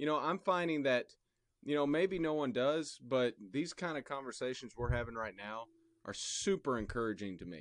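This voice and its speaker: Medium in pitch, a man's unremarkable speaking voice carries lively intonation. The background is quiet. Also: moderate pace. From Indianapolis, Indiana. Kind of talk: casual chat.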